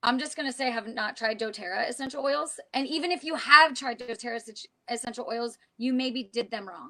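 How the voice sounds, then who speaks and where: A woman talks at a fairly quick pace in an animated tone and a high pitch. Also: ordinary pitch variation. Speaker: essential oils and witchcraft show co-host. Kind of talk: casual chat. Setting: live stream. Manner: fast.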